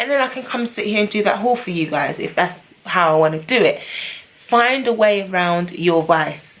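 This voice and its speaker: A woman with a British accent talks at a moderate pace with ordinary pitch variation. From London. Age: 20s. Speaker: beauty and lifestyle vlogger. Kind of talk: casual talk to camera. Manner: upbeat, chatty.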